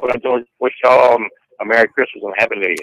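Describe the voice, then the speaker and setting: With an American accent, a man speaks at a very fast pace. The sound is dry and close, with no echo. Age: 60s. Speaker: caller. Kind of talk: radio call-in.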